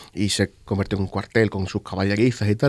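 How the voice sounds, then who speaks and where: This man talks very fast in a fairly low pitch. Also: very clean recording, silent background. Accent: Sevillian. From Spain, Andalusia (Seville province, Marchena). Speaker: exhibition curator. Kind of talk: interview conversation. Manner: halting, many fillers and repetitions.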